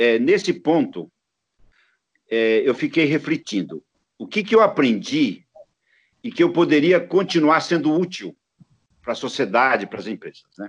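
A man speaks at a moderate pace with vocal fry and a fairly high pitch that makes very wide swings. His loudness swings widely, and he leaves long, frequent pauses. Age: 70s. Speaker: design entrepreneur and professor. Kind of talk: interview.

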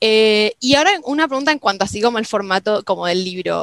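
A woman in a Rioplatense accent speaks at a fairly quick pace with lively intonation, the sound dry and close with no echo. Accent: Argentine Rioplatense Spanish. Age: young. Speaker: podcast host. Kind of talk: casual chat. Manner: halting.

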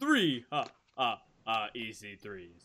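A man puts on a playful, theatrical character voice at a medium pitch.

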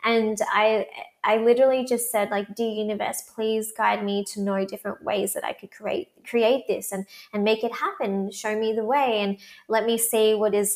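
A woman's fairly high voice at a moderate pace, fairly even in intonation, a normal speaking voice. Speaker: manifestation coach and podcaster. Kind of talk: casual interview chat.

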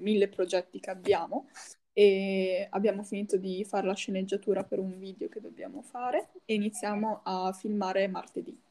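Speaking at a moderate pace, the woman has a dark, mellow tone. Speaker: podcast co-host. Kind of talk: casual chat.

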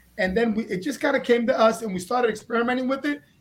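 A man talks at an extremely high pitch with ordinary pitch variation. Noticeable background noise is present. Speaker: guest, book publisher.

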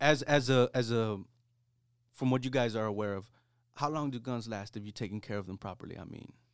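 Very clean and silent in the background, this recording has a man at a medium pitch with ordinary pitch variation and a fairly quick pace. His loudness swings widely, and he takes long, frequent pauses. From US, Mexican-American. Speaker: podcast co-host. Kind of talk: casual chat. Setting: studio.

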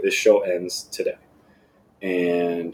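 This is a man speaking. He has an American accent. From South Florida. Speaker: sales account executive. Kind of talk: casual chat.

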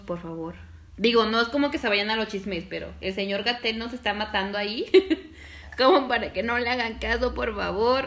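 A woman speaks at a moderate pace with a fairly high pitch and ordinary pitch variation. It is an unremarkable speaking voice. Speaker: podcast co-host. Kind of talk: casual chat.

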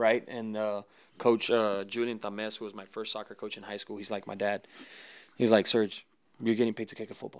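Fairly low male speech at a fairly quick pace, monotone and flat, with big swings in loudness, on a very clean recording with a silent background. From US South, Mexican border region. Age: 30s. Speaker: professional football kicker. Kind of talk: casual interview.

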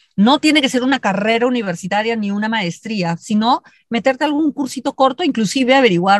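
A woman speaks at a moderate pace in a fairly high, somewhat breathy voice with lively intonation. The sound is dry and close with no echo. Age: 50s. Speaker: leadership consultant and speaker. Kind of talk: interview.

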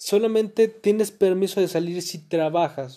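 A man with a Mexican accent speaks slowly in a dark, mellow tone with fairly even intonation over a quiet background. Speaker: podcaster. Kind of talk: casual monologue. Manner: halting.

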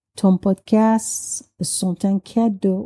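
Dark and mellow in tone and somewhat breathy, a woman speaks at a medium pitch in a dry, close sound with no echo. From Iran. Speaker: listener and French learner. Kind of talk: recorded voice message.

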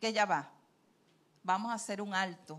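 A woman speaks in a bright, sharp tone. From Venezuela, Trujillo (Andes). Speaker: retired university worker, church marriage ministry leader. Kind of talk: testimony. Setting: church pulpit.

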